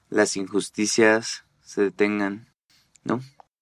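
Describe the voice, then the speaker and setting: A man's fairly low voice at a very slow pace, dry and close with no echo. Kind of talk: casual literary discussion.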